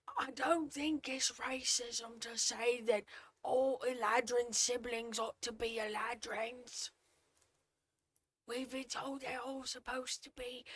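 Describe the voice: This female-sounding voice is a put-on character voice, pitched high for a woman. It moves at a fairly slow pace.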